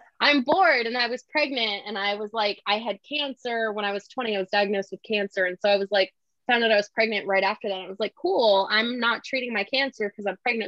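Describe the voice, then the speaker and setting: A woman with an American accent speaks at a very fast pace with hardly any pauses, her fairly high pitch varying in an ordinary way. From US South. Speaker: romance novelist. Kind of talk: casual interview. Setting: video call. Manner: animated.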